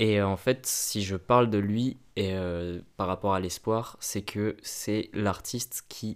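A man speaks very slowly at a fairly low pitch. The recording is very clean, with a silent background. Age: 20s. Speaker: film student and photographer. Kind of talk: casual chat.

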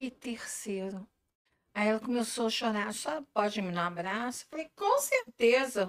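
A woman talks at a fairly slow pace in an unremarkable speaking voice. Her pitch sits fairly high. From Brazil, Macaé (Rio de Janeiro state). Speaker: gluten-free food entrepreneur. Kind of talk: casual interview chat. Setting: live video stream.

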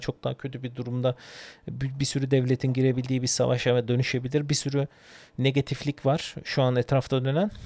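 A man at medium pitch delivers his words with monotone, flat intonation. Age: 30s. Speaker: podcast host. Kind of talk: solo podcast monologue. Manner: halting, many fillers.

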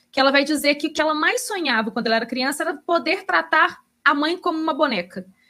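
Raised and projected, a woman's high, bright, sharp voice races at a very fast pace with lively intonation. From Belo Horizonte, Brazil. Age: 30s. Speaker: book podcast co-host. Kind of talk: casual chat about books and film.

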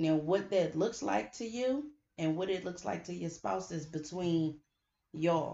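A woman speaks in an ordinary speaking voice, fairly low in pitch. Her pace is fairly slow and her intonation lively. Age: 30s. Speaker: podcast host. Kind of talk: casual chat.

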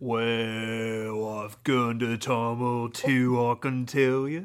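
Someone performs a put-on character voice in a British accent at a low pitch. The pace is very slow. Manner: slow-talking.

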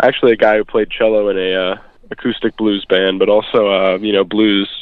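A man talks at a fairly low pitch in an American accent. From United States. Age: young. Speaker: blues musician. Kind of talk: interview. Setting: phone call. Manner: hesitant, many fillers.

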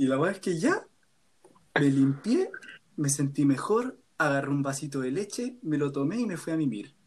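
Speaking with a Chilean accent, a man uses a fairly high pitch and lively intonation. His pace is moderate. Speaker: university student. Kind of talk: casual chat.

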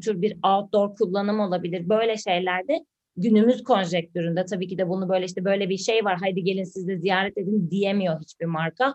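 With a normal speaking voice, a woman talks at a moderate pace, her pitch medium and ordinarily varied. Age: 30s. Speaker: podcast co-host, digital marketer. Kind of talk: casual chat.

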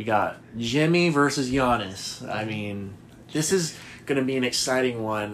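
With a normal speaking voice, a man talks fairly slowly at a medium pitch and with ordinary pitch variation. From US Northeast, Boston. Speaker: sports podcast co-host. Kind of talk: casual chat.

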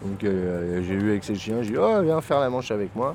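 Lively intonation rises and falls over noticeable background noise. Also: man. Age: 50s. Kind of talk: casual street conversation, documentary recording.

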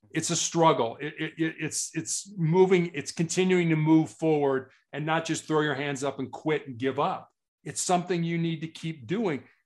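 With an American accent, a man talks at a moderate pace in a plain, everyday voice, fairly high in pitch with ordinary pitch variation, against a quiet background. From United States. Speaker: cancer patient and motivational speaker. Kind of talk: interview.

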